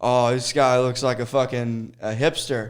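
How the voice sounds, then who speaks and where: Noticeable background noise sits behind a man's voice. He speaks at a moderate pace in an animated tone. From Arkansas. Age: 30s. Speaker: stand-up comedian. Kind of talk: casual chat.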